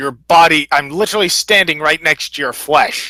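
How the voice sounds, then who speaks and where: Using a put-on character voice, a man speaks at a moderate pace and a fairly high pitch. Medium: actual play.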